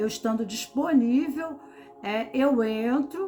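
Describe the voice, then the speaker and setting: A woman with a high voice speaks very slowly in a lively, rising-and-falling tone over noticeable background noise. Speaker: tarot reader and therapist. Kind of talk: tarot reading talk. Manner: slow, with pauses; calm.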